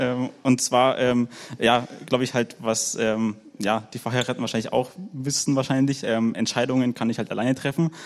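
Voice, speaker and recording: His medium-pitched voice stays monotone and flat. The recording of the man is very clean, with a silent background. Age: 20s. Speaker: work educator, church member. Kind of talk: panel talk, personal sharing.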